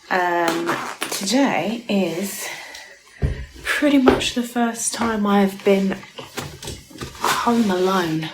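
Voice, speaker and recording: With music in the background, a woman in a British accent talks at a very slow pace, medium pitch and ordinary pitch variation. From United Kingdom. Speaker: vlogger. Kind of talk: casual talk to camera.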